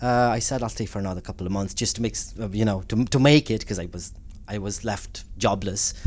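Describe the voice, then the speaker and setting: A man speaks with a Romanian accent. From Romania, Transylvania. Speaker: community development worker for Roma. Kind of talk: interview conversation. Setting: hotel room recording.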